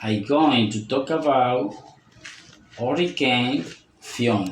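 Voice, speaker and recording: A man of medium pitch speaks at a very slow pace with ordinary pitch variation, amid audible room echo and noticeable background noise. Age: 40s. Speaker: language student. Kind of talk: prepared speaking presentation. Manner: deliberate, reading-like.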